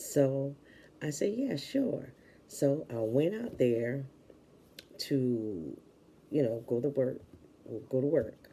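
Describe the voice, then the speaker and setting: A soft-spoken voice with a dark, mellow tone. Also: woman. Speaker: vlogger. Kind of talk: casual chat.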